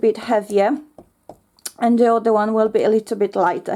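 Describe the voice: A woman speaks with a fairly high pitch. Her tone is dark and mellow.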